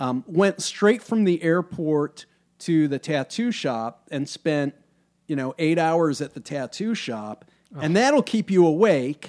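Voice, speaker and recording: A man with an American accent and an ordinary speaking voice talks fairly slowly at a fairly high pitch with lively intonation. The recording is very clean with a silent background, dry and close with no echo. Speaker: punk band lead singer. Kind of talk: casual chat.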